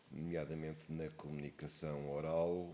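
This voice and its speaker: A man speaks in an Algarve accent. His pitch is very deep and low. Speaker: actor and theatre director. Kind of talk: interview answer.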